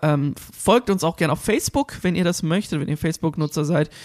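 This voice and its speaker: A man talks in a high pitch with ordinary pitch variation. The sound is dry and close, with no echo. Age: 20s. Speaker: radio host. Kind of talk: casual chat. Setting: video call.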